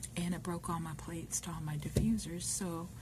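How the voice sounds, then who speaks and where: Music plays in the background. A woman speaks with an American accent. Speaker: ASMR video maker. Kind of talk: casual talk to camera. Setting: workplace, quiet.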